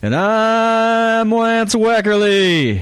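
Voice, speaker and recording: A man puts on a character voice, high-pitched with fairly even intonation. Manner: exaggerated announcer cadence.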